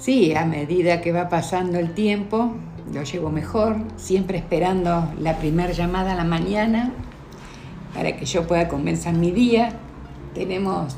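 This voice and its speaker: The speech moves at a fairly slow pace with ordinary pitch variation. Noticeable background noise and audible room echo are present. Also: woman. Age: 60s. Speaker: mother of the host. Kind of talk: interview. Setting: sitting beside the host.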